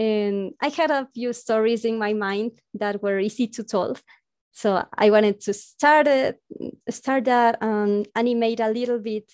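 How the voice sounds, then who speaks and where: With a Spanish accent and fairly even intonation, a woman speaks in a fairly high pitch against a quiet background. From South America. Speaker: webcomic creator and animator. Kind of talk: casual interview chat. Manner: halting, laughs often.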